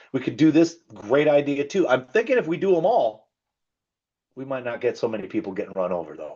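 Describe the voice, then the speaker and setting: A man's fairly high voice with very wide pitch swings and vocal fry. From Canada. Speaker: safety trainer. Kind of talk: training presentation. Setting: video call. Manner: fast; casual, animated.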